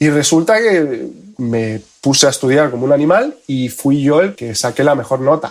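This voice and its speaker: This man talks at a moderate pace, his fairly high voice carrying lively intonation. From Spain, with childhood years in Argentina. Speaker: photonics engineer. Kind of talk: podcast interview.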